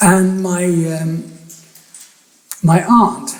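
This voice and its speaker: This is a man speaking. He has an Irish accent. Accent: Irish accent still marked. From Ireland, Athy, County Kildare; later England. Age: 70s. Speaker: photographer. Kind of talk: public talk. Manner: halting, with many restarts.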